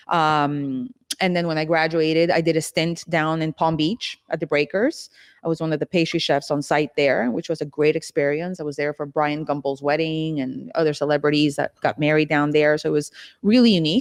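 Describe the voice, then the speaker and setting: A woman with a Costa Rican accent and a very deep, low pitch, fairly quick pace, fairly even intonation and a dry, close sound with no echo. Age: 40s. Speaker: pastry chef and business executive. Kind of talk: podcast interview.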